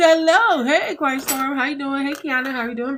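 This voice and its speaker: Light background noise is present. A woman is speaking. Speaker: online tutorial creator. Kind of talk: live stream tutorial. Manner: casual and chatty. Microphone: phone near.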